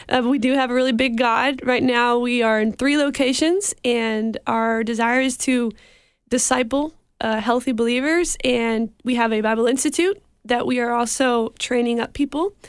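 A high-pitched woman with an American accent talks at a moderate pace, with ordinary pitch variation and very even loudness. The recording is very clean, with a silent background. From Mexico, raised by American missionaries. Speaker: missionary. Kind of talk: interview. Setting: studio.

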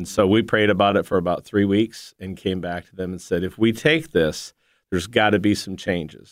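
A man with an American accent and an ordinary speaking voice talks at a moderate pace, fairly low in pitch, with ordinary pitch variation and big swings in loudness. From northeast Ohio. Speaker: missionary. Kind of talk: interview testimony.

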